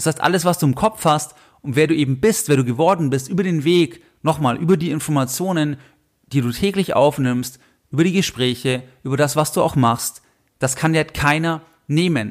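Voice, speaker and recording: Here a man has an ordinary speaking voice pitched fairly high. He keeps a moderate pace with ordinary pitch variation. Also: very clean recording, silent background. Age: 30s. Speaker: finance podcast host. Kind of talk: solo podcast monologue.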